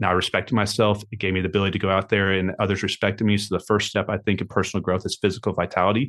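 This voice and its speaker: This man talks at a very fast pace with hardly any pauses, his pitch fairly low. His tone is energetic, and the background is quiet. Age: 30s. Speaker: entrepreneur. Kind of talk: interview.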